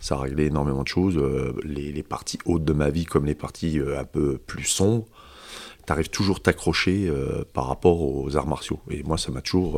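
Over a silent background on a very clean recording, a man speaks with vocal fry in a very deep, low voice, at a fairly slow pace and with fairly even intonation. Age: 50s. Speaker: karate instructor. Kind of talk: casual chat.

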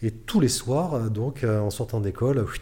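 A man speaks in a dark, mellow tone, somewhat breathy, with ordinary pitch variation. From France, Bordeaux. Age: 40s. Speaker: adventurer and mountaineer. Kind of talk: interview storytelling.

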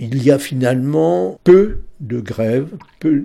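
This man's voice has a dark, mellow tone. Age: 80s+. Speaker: retired historian. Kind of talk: interview.

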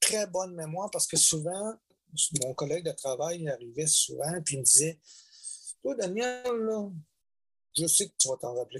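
The sound is dry and close with no echo as a man with a high pitch talks at a moderate pace, leaving long, frequent pauses. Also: lively intonation. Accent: Quebec. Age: 60s. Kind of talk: testimony. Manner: halting.

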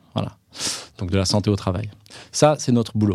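Dark, mellow male tone, recorded very cleanly against total silence. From Franche-Comté, France. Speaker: occupational health consultant. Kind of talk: interview conversation.

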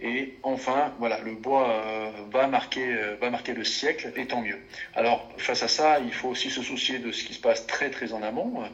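Against noticeable background noise and audible room echo, a man of medium pitch talks at a fairly slow pace with fairly even intonation. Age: 40s. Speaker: forestry and sawmill company executive. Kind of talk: interview. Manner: hesitant, with fillers and repetitions.

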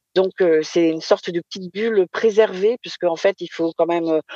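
With a dry, close sound and no echo, a woman in an ordinary speaking voice talks at a moderate pace and medium pitch with fairly even intonation. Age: 50s. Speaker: association president. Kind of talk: live podcast interview. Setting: remote live broadcast.

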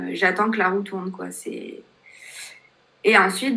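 A woman speaks with fairly even intonation. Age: 20s. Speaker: life coach with paraplegia. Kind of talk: interview testimony.

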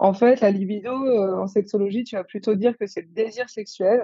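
A woman with a fairly high pitch speaks at a moderate pace, her pitch shifting in an ordinary way. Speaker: psychiatrist studying sexology. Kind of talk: casual interview. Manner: hesitant, thinking aloud.

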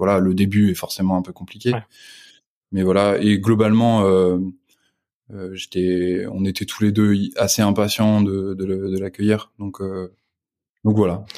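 On a very clean recording with a silent background, a man speaks very slowly in a dark, mellow, monotone, flat voice, with long, frequent pauses. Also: fairly low pitch for a man. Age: 20s. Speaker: entrepreneur and father. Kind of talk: casual interview chat.

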